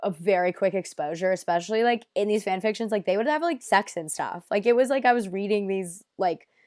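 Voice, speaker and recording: A woman with an ordinary speaking voice and an American accent talks at a fairly quick pace and medium pitch with lively intonation, on a very clean recording with a silent background. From United States. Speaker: podcast guest. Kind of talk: casual chat.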